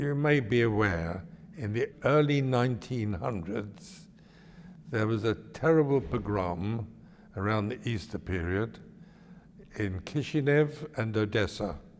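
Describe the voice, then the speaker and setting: The intonation is lively, with a London accent. Long pauses come often. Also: man, medium pitch for a man. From East End of London, England. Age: 90s. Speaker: elderly interviewee recounting his life. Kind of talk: oral history interview. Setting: synagogue.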